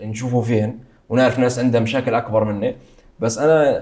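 An ordinary speaking voice from a man, medium in pitch, moderate in pace, with ordinary pitch variation. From Libya, Benghazi. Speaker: travel content creator. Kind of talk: interview.

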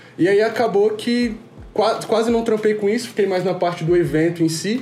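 Music plays in the background and the room echo is audible as a man speaks at a moderate pace. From Rio de Janeiro, then Brasília from age 11. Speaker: music executive producer. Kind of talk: casual interview chat.

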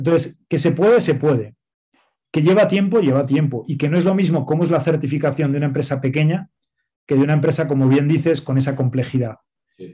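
A man talks at a fairly quick pace in a dark, mellow tone that is somewhat breathy, with ordinary pitch variation. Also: fairly high pitch for a man. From Spain. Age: 40s. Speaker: nonprofit director. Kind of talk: interview.

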